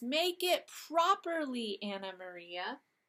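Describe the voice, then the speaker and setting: Putting on a squeaky, high-pitched character voice, a woman speaks at a fairly slow pace with very wide pitch swings. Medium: read story. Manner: chattering, grumpy.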